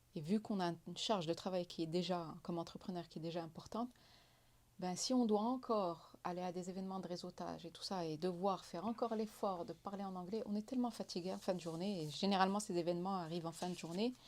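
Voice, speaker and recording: A woman talks very fast in a Moroccan accent. Her pitch varies in an ordinary way. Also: medium pitch for a woman. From Morocco. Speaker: entrepreneur. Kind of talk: interview.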